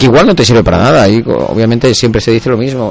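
Talking at a very fast pace over noticeable background noise, a man keeps a medium pitch. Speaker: football supporters' group radio host. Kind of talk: casual chat.

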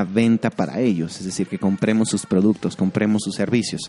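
Music plays in the background. The sound is dry and close, with no echo. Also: man. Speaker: podcast host, creative director. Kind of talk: solo educational talk.

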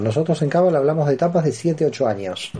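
A man at a moderate pace, his fairly high voice carried by lively intonation. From Argentina, Buenos Aires. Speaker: philosophy professor and author on Kabbalah. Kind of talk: radio interview. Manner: hesitant fillers and repetitions.

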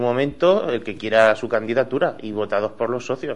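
Here is a man with an unremarkable speaking voice at a medium pitch. He speaks at a fairly slow pace with ordinary pitch variation. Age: young. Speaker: bar owner. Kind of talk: radio interview.

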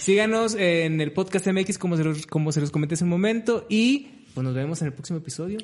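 A man's high-pitched voice at a fairly quick pace, with lively intonation. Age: 30s. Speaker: podcast co-host, digital creator. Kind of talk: casual chat.

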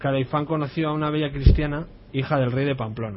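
A man speaks at a fairly high pitch and a fairly quick pace. His intonation stays fairly even over noticeable background noise. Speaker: community radio contributor. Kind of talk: reading aloud.

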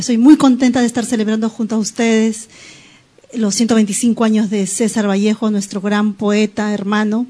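The speech is at a moderate pace and monotone, flat, with noticeable background noise. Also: woman, fairly high pitch for a woman. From Peru, Lima. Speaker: poet and writer. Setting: studio.

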